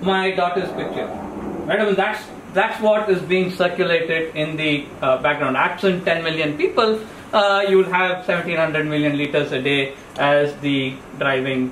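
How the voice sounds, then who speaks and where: A man with a high voice and ordinary pitch variation at a moderate pace, with audible room echo and light background noise. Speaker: presenter. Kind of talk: lecture. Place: meeting room. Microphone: camera far.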